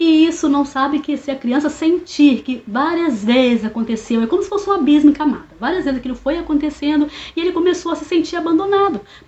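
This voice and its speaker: Through noticeable background noise, a woman with a high pitch talks at a very fast pace with hardly any pauses. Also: ordinary pitch variation. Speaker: therapist. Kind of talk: educational monologue. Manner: casual, hesitant.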